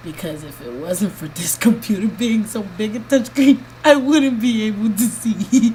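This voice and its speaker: A woman speaks with a fairly high pitch and loudness that rises and falls sharply. Background noise is clearly audible. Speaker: vlogger giving health update. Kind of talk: video diary. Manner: slow; halting.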